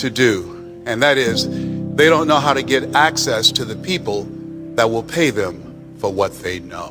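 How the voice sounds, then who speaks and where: A man's medium-pitched voice with lively intonation, music playing in the background. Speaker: motivational speaker. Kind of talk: motivational speech to a live audience.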